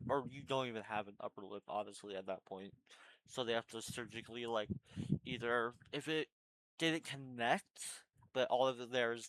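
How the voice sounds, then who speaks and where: A man talks at a moderate pace with a medium pitch. His pitch variation is ordinary. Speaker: vlogger. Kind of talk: casual vlog update. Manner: casual, halting with fillers.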